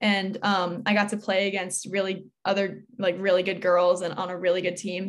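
In an American accent, a woman speaks at a moderate pace and medium pitch in an ordinary speaking voice. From Connecticut, US. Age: young. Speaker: college student athlete. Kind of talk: interview.

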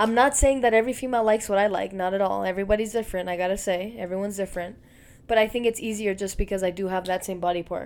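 Very fast and with fairly even intonation, a woman speaks. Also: medium pitch for a woman. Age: 20s. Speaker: podcast co-host. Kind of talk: casual chat.

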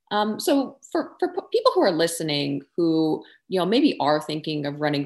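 A woman with a normal speaking voice and an American accent talks at a moderate pace with a fairly low pitch on a very clean recording with a silent background. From Texas. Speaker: podcast host. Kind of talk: casual interview.

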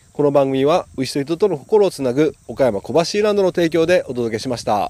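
A man's dark, mellow voice at a moderate pace with lively intonation. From Okayama, Japan. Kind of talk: casual solo talk and interview chat. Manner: cheerful, talkative, animated.

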